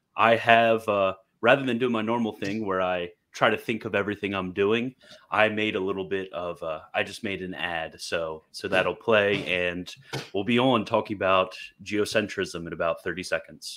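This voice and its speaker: A man with an ordinary speaking voice talks at a moderate pace, his pitch fairly low and his intonation fairly even, over a quiet background. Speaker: podcast host. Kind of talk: casual talk-show chat.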